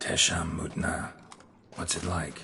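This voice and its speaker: A man performs a put-on character voice over clear background noise. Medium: machinima. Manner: terse, clipped.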